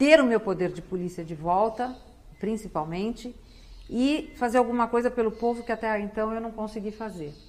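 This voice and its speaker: A woman speaks at a fairly high pitch. She has an ordinary speaking voice. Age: 60s. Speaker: public prosecutor and political candidate. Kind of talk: TV interview.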